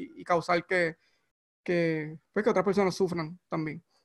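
Fairly even intonation marks a man's speech, which moves at a moderate pace. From Puerto Rico, Barranquitas (rural). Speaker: tech mentor and investor. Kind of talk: interview conversation. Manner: halting, many repetitions.

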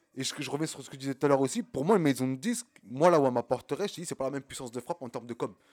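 The speech races along at a very fast pace with hardly any pauses, its loudness swinging widely and its pitch varying in an ordinary way, in a dry, close sound with no echo. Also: man, fairly high pitch for a man. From France, Champigny (Val-de-Marne, Paris suburbs). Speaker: independent rapper. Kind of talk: casual chat.

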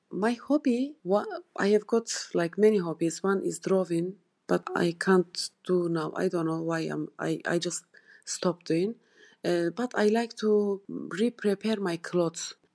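Speaking at a fairly slow pace with a Turkish accent, a woman has a medium pitch, ordinary pitch variation and a dark, mellow tone, with a dry, close sound with no echo and a quiet background. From Turkey. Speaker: ESOL student. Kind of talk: self-recorded personal monologue. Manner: halting, non-native pauses.

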